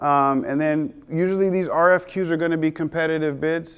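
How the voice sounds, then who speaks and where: Fairly high in pitch, a man talks in a plain, everyday voice. He keeps a moderate pace and fairly even intonation. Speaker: small business adviser and roofing contractor. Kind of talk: seminar lecture.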